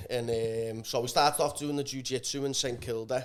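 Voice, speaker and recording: The speaker talks very fast in a Scouse accent. The intonation is monotone and flat. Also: man. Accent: Liverpool, called funny by others. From northern England, Liverpool. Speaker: amateur athlete training for Ironman. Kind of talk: casual chat.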